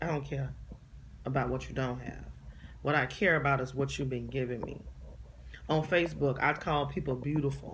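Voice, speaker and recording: In a room with audible echo, a woman talks in an animated tone at a moderate pace, leaving long, frequent pauses. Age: 40s. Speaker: vlogger, inspirational speaker. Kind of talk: casual monologue vlog. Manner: animated, emphatic.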